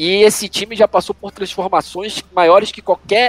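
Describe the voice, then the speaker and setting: The man talks at an unhurried, moderate speed. His voice sounds close and dry, without any echo. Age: 40s. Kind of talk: casual chat.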